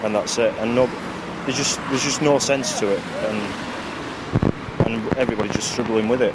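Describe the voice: Over clear background noise, a man speaks at a medium pitch and a moderate pace with fairly even intonation.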